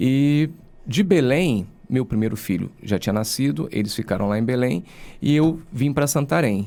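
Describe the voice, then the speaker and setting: A man's fairly slow, medium-pitched voice, dark and mellow in tone, with lively intonation. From Rio de Janeiro state, Brazil (Angra dos Reis). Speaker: lawyer and university professor. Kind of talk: podcast interview.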